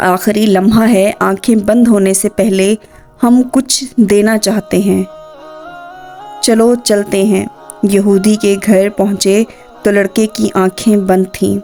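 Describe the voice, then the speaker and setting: With music in the background, a woman speaks at a medium pitch in monotone, flat intonation and very even loudness. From Pakistan. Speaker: voice over artist. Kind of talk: religious story narration.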